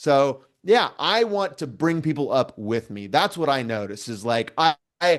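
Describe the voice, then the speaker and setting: A man speaks with an American accent, his pitch swinging very widely. The background is quiet. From US Pacific Northwest, Vancouver, Washington. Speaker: political commentator. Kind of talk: casual interview chat. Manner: loud; halting, many fillers and restarts.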